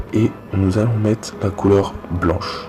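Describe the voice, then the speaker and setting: A man's very deep, low, flat monotone over noticeable background noise. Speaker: youtuber teaching graphic design. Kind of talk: tutorial.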